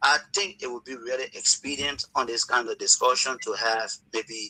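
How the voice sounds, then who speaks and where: Music plays behind a man's voice. The sound is dry and close, with no echo. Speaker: caller. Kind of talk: call-in comment.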